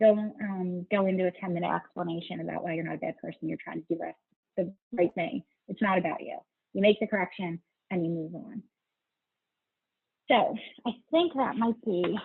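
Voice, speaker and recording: A woman at a fairly quick pace, medium in pitch with ordinary pitch variation, broken by long, frequent pauses. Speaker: attorney presenting a webinar. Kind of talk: webinar lecture. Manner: fast.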